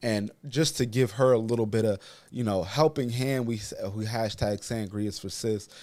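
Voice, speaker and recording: A man with a medium pitch speaks at a moderate pace in a very clean recording with a silent background. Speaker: YouTube commentary host. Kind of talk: casual reaction commentary. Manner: halting.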